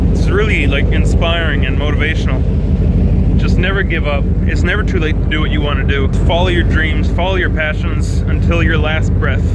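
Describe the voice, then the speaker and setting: Someone speaks at a fairly quick pace amid loud background noise. The sound is dry with no echo. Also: man. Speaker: vlogger. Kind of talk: casual vlog chat. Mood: inspired, reflective. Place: boat. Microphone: phone near.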